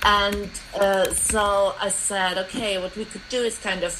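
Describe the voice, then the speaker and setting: A woman speaks with a German accent at a medium pitch. There is noticeable background noise. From East Germany. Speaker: commons activist. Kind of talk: research interview.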